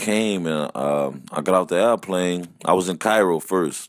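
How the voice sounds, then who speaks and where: A man with a Louisiana accent talks at a fairly slow pace. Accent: Louisiana Southern US. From Louisiana, US South. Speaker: musician and band leader. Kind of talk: casual interview chat. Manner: animated.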